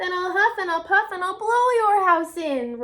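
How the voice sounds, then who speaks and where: A woman bellows in a put-on character voice pitched extremely high. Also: moderate pace. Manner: roaring, threatening.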